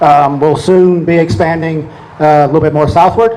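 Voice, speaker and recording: Noticeable background noise sits behind a man speaking at a moderate pace, his pitch fairly high with ordinary variation. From New Orleans, Louisiana. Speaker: oil company executive. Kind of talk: talk to an audience. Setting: event with audience.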